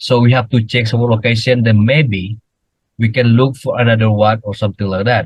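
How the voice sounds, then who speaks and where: A man with a medium pitch, a fairly quick pace and a flat, monotone intonation, somewhat breathy, with an Indonesian accent. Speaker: cryptozoologist. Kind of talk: interview. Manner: halting.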